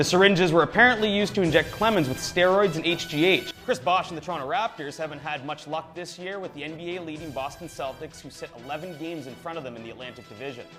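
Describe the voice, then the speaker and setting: Music plays behind a voice that speaks very fast, with hardly any pauses. Pitch varies in an ordinary way while loudness swings widely. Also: man, fairly high pitch for a man. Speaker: sports anchor. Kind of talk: sports news broadcast read. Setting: studio.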